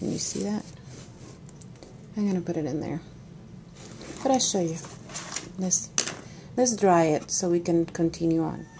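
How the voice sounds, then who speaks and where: A woman's fairly low voice at a moderate pace, with very wide pitch swings, long, frequent pauses and noticeable background noise. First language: not English. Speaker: art journaling crafter. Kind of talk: tutorial. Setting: home studio. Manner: casual, with hesitations.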